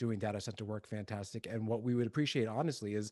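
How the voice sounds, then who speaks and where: The voice has a dark, mellow tone and moves at a very fast pace. The background is quiet. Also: man. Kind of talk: webinar presentation. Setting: video call.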